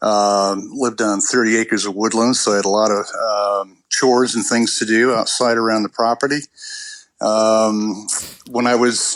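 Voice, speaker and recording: A man's ordinary speaking voice at a medium pitch and moderate pace. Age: 60s. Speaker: patient sharing illness story. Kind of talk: interview.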